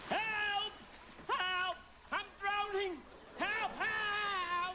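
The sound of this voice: Putting on a character voice at an extremely high pitch, a man speaks very slowly with little pitch movement and a bright, sharp tone, and audible room echo can be heard.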